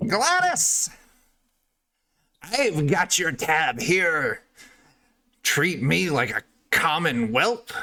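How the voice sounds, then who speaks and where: A man puts on a cackling character voice, pitched high, with very wide pitch swings. He speaks at a very slow pace, with long, frequent pauses. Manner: cackling, rough.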